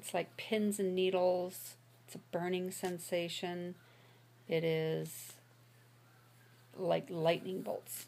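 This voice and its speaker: In a very slow monotone broken by long, frequent pauses, a woman with an American accent speaks at medium pitch in a dark, mellow tone. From Michigan. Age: 60s. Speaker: diabetes patient sharing experience. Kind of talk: personal testimony. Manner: halting with filler words.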